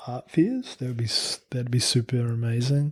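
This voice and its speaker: A man speaks in a New Zealand accent. His voice is somewhat breathy and his pace moderate. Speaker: painter and printmaker. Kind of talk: interview. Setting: studio.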